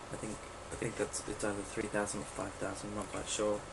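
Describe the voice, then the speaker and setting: There is noticeable background noise behind this man's fairly low voice. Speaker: let's play gamer. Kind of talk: casual gameplay commentary. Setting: laptop microphone, poor quality. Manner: hesitant, lots of filler words.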